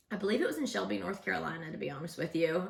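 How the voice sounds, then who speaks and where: A woman speaks in an animated tone with very wide pitch swings, and audible room echo surrounds her voice. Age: 40s. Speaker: vlogger, former radio host. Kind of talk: casual vlog storytelling. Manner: loud.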